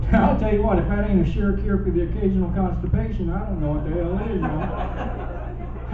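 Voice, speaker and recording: A man with a Southern US accent talks with hardly any pauses, with noticeable background noise and audible room echo around him. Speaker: stand-up comedian. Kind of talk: stand-up comedy set. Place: stage.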